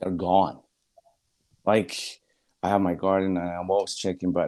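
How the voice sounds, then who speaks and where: Very deep and low, a man's dark, mellow voice moves at a fairly quick pace with fairly even intonation in a Spanish accent. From Bolivia. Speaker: guest. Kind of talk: casual discussion. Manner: halting.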